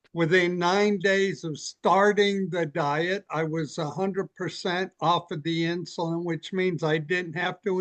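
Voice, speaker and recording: Against a quiet background and in a dry, close sound with no echo, a man speaks at a fairly slow pace with a high pitch and fairly even intonation. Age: 70s. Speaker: patient. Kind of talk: testimony.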